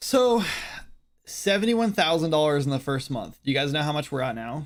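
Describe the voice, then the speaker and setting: Speaking fairly quickly in an American accent, a man with a fairly high pitch swings his pitch very widely on a very clean recording with a silent background. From Wyoming, US. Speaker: game developer streamer. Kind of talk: casual chat.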